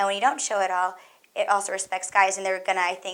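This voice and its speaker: A woman is speaking at a medium pitch. Her pace is fairly quick. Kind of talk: testimony. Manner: halting.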